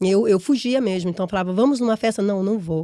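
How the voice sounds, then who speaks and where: A woman speaks at a fairly quick pace with a strong Brazilian accent, her medium pitch showing ordinary variation and an animated tone. The recording is very clean with a silent background and a dry, close sound with no echo. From Brazil, interior of São Paulo state. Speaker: entrepreneur and immigrant. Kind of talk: podcast interview.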